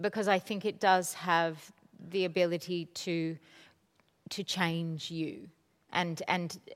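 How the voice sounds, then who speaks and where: A woman with a plain, everyday voice speaks at a medium pitch with fairly even intonation, on a very clean recording with a silent background. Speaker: theatre artistic director. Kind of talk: onstage interview conversation. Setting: stage with audience. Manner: warm, casual, chatty.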